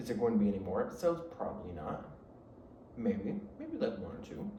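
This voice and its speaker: With an American accent and an animated tone, a man with a fairly high voice makes very wide pitch swings amid noticeable background noise and audible room echo. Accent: country twang, comes and goes. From Michigan, south of Detroit. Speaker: podcast host. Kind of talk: casual chat. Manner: rambling, animated.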